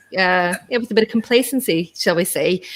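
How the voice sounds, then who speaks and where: In a very clean recording with a silent background, a woman with a fairly high pitch talks at a moderate pace with lively intonation. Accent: Irish. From Ireland. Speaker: podcast host on remote-work visa. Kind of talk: interview.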